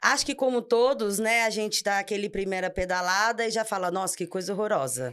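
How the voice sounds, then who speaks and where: A woman with a plain, everyday voice talks at a fairly quick pace with hardly any pauses, lively intonation and a medium pitch, on a very clean recording with a silent background. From Brazil, São Paulo region (ABC). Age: 30s. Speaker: architect, amateur cyclist. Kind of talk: casual podcast interview.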